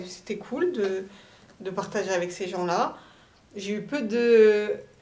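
A woman's fairly high-pitched voice with ordinary pitch variation and audible room echo. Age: 20s. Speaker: young mother on maternity leave, start-up employee. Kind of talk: casual interview, personal testimony. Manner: lively, jokey.

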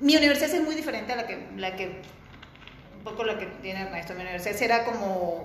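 A woman at medium pitch talks with lively intonation and big swings in loudness, leaving long, frequent pauses. Noticeable background noise and audible room echo fill the recording. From Venezuela. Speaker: architect. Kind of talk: interview. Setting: video call.

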